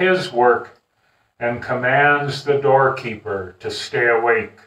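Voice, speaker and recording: A man's bright, sharp tone at a very slow pace, with audible room echo over a quiet background. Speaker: pastor. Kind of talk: scripture reading in sermon. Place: home room. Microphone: camera far.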